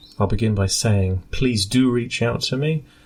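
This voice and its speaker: Here a man speaks with a British accent and ordinary pitch variation. His voice comes across somewhat breathy. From UK. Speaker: scientist and radio amateur board member. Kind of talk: prepared statement for radio news broadcast.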